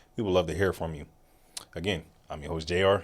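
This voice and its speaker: Monotone and flat, a man with a very deep, low pitch speaks at a moderate pace. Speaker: podcast host. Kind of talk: scripted outro; casual chat.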